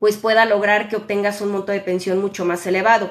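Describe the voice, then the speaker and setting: A woman speaks at a medium pitch with fairly even intonation. It is a normal speaking voice. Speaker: social security advisor. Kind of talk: live Q&A stream. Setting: live stream on social media.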